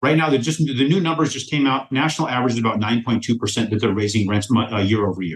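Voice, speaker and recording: A man talks at a very fast pace with an American accent. His voice is somewhat breathy. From rural US, cattle ranch. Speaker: mortgage lender for real estate investors. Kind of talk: podcast interview. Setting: podcast recording. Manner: animated.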